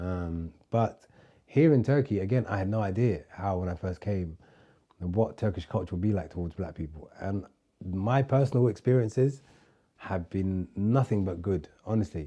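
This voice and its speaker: A man with a London accent, fairly low in pitch, dark and mellow in tone, at a moderate pace with ordinary pitch variation. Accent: London English, multicultural London. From London, England. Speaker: podcast guest, expat. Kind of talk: casual chat. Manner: casual, hesitant with fillers.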